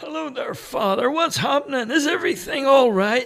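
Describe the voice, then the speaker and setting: Putting on a raspy character voice, a man speaks at an extremely high pitch. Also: moderate pace. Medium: read story.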